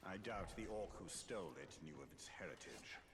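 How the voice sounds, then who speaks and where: A man's put-on character voice, fairly low in pitch, at a moderate pace, with clear echo and clear background noise. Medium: video game.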